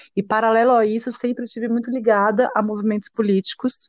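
A woman talks at a moderate pace in a plain, everyday voice with fairly even intonation against a quiet background. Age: 30s. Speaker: dancer and arts educator, feminist activist. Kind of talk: interview.

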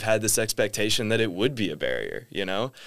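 Over a very clean, silent background, a man speaks with a Midwestern American accent. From US Midwest (Indiana). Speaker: master's student. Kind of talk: casual chat.

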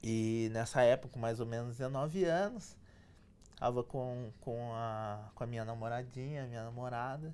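At a fairly slow pace, a man talks with fairly even intonation. He uses an ordinary speaking voice at a medium pitch. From Brazil, São José dos Campos (São Paulo state). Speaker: electronic engineer and entrepreneur. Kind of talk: interview, life story.

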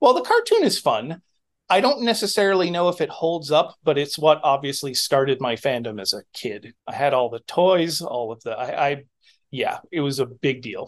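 With an American accent and a normal speaking voice, a man with a fairly high pitch talks at a moderate pace with lively intonation. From New Hampshire, US. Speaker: illustrator and clothing designer. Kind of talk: casual chat.

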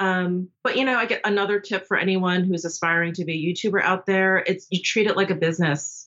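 A woman with an ordinary speaking voice talks at a fairly quick pace with hardly any pauses, keeping a medium pitch, fairly even intonation and very even loudness. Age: 40s. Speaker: beauty YouTuber. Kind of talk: casual chat.

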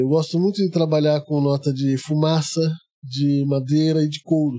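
This man's voice has a dark, mellow tone. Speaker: perfumer. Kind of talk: casual interview. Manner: calm, quiet.

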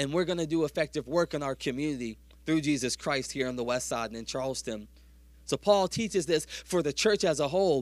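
A man speaks at a fairly quick pace in a fairly high pitch, with an animated tone and ordinary pitch variation, on a very clean recording with a silent background. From US South. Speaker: pastor. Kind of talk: sermon. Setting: church.

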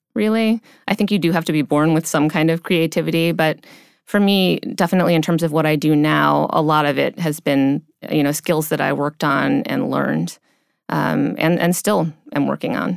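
In a very clean recording with a silent background and a dry, close sound with no echo, a woman speaks at a moderate pace with very deep, low pitch, ordinary pitch variation, very even loudness and vocal fry. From US Midwest, near Cleveland, Ohio. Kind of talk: interview. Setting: studio.

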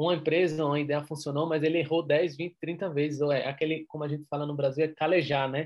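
The man's voice sits fairly high. He rattles along at a very fast pace. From Brazil, Recife (Pernambuco). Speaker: entrepreneur. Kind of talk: interview.

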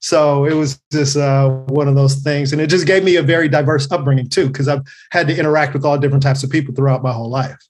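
In an American accent, the speaker rushes at a very fast pace, somewhat breathy, with monotone, flat intonation. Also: man, fairly high pitch for a man. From Los Angeles, California (Carson). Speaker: comedian. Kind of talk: casual chat.

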